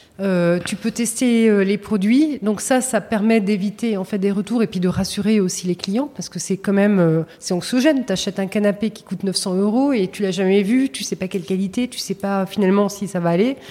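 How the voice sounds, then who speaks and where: Against noticeable background noise, a woman speaks at a moderate pace and medium pitch, with ordinary pitch variation and hardly any pauses. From Paris region, France. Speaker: retail company executive. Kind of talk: interview.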